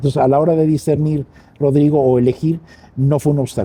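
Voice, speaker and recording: Here a man's fairly high, dark, mellow voice comes across somewhat breathy, with ordinary pitch variation. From Mexico City, raised in Spanish family. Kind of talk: interview.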